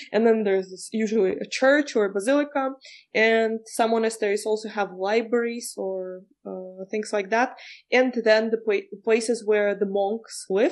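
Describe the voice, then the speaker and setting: A woman speaks with a Czech accent at a fairly high pitch and a moderate pace. Her intonation is fairly even, and the background is quiet. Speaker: guest, Prague local. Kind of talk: interview.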